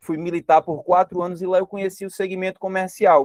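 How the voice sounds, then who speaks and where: The recording is dry and close with no echo, carrying a man's high-pitched voice. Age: 30s. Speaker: network marketing presenter. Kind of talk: sales pitch.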